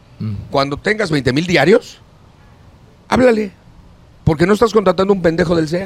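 A man with a Mexican accent, high-pitched for a male voice, at a moderate pace with lively intonation and long, frequent pauses. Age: 60s. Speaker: actor and entertainer. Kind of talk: casual chat. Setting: studio.

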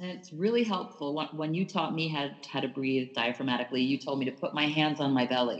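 A woman with a very deep, low pitch talks at a fairly quick pace with hardly any pauses. Her pitch variation is ordinary, and there is noticeable background noise. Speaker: podcast co-host. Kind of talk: casual interview.

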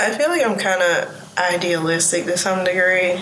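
A woman's voice with noticeable background noise. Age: 20s. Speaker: illustrator and founder. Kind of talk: casual interview conversation. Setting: gallery, recorded in person.

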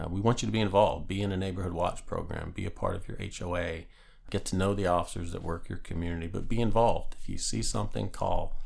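A man talks at a very fast pace with an American accent. Audible echo from the room surrounds his voice. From Northeast Pennsylvania. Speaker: police chief. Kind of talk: interview. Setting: office.

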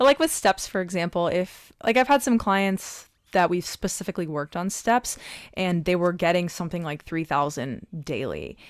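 On a very clean recording with a silent background, a woman with fairly low pitch speaks at a moderate pace with lively intonation. It is a normal speaking voice. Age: 30s. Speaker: podcast host and personal trainer. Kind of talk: interview.

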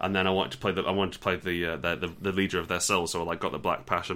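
Here a man with an English accent talks very fast in a very deep, low voice. His tone is bright and sharp, and his delivery is monotone and flat. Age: 30s. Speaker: podcast co-host. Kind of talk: casual chat.

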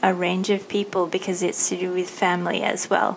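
A woman speaks in an Australian accent. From Thailand and Australia. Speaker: podcast host. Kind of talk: interview.

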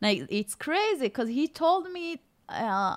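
With an Israeli accent, a woman swings her pitch very widely over a very clean recording with a silent background. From Israel, Golan Heights. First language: Hebrew. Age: 30s. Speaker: author and former mall cart seller. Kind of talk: interview.

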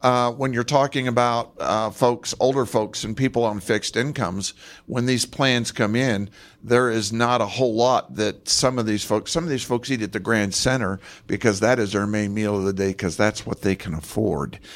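Here is an ordinary speaking voice from a man with an American accent. He speaks at a moderate pace and medium pitch with ordinary pitch variation. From Moab, Utah (from Los Angeles as a child). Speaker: city council candidate. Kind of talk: candidate debate. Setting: public library, live radio broadcast with audience.

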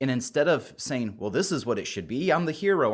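In a plain, everyday voice, a man with a medium pitch speaks at a moderate pace on a very clean recording with a silent background. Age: 40s. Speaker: pastor. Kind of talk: interview.

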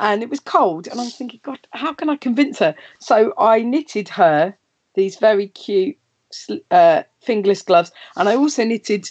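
A woman's plain, everyday voice with lively intonation at a moderate pace, in a dry, close sound with no echo. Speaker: live show host. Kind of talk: casual chat. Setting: video call from home.

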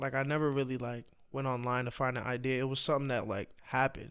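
An unremarkable speaking voice. It has an American accent. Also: man, very clean recording, silent background. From Boston. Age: 20s. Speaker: DJ and former social media comedian. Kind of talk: casual chat.

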